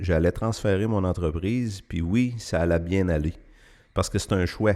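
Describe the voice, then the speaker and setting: In a Quebec accent, a man speaks at a fairly slow pace with a fairly low pitch and ordinary pitch variation. The recording is very clean, the background silent. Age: 60s. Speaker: farmer. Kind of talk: interview.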